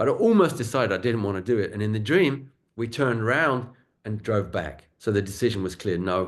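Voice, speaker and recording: This man has a southern English accent and a fairly low pitch. He speaks at a fairly quick pace. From southern England, London suburbs. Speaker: acupuncture and shiatsu teacher. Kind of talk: casual chat. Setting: video call.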